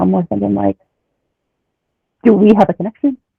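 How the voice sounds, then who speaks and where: Speaking at a very fast pace, a woman has a slight Philadelphia accent. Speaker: former reality show contestant. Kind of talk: casual interview chat.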